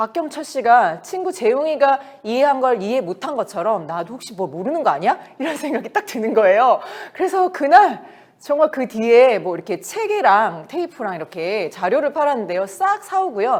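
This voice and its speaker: With very wide pitch swings, a woman speaks in a high, animated voice. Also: moderate pace. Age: 50s. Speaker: network marketing business leader. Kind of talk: motivational business talk. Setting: meeting.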